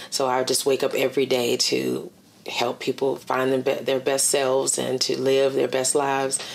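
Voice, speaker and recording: A woman with an American accent speaks in a very deep, low pitch with monotone, flat intonation, very even loudness, and a moderate pace. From Virginia. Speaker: director of a transitional jobs program; interviewee. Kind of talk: oral history interview. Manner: halting, many fillers. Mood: calm, reflective. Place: home room.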